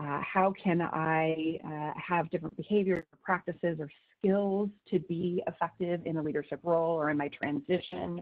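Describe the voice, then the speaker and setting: Against a quiet background, a woman with a fairly low pitch speaks at a moderate pace in a monotone, flat way. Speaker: webinar presenter. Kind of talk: lecture. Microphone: video call.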